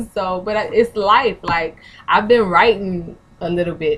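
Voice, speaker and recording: Here a woman talks with a Southern accent. Her pitch is medium. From New Orleans. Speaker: vlogger, author and former hip hop artist. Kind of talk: casual vlog monologue. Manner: casual, chatty.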